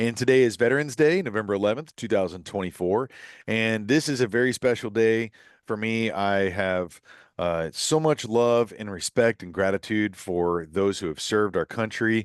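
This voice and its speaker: Recorded with a dry, close sound with no echo against a quiet background, a man with an unremarkable speaking voice talks at a moderate pace and fairly low pitch with ordinary pitch variation. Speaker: podcast host. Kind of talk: podcast monologue.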